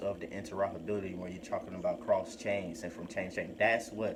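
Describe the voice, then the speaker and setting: A man speaks at a fairly low pitch. Background noise is noticeable and the room echo is audible. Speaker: crypto YouTuber. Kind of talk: casual vlog commentary. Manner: hesitant, many fillers.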